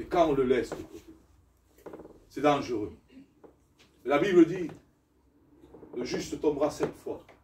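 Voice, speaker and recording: A man speaks with big swings in loudness and long, frequent pauses. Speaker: pastor. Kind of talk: sermon. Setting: church. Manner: animated.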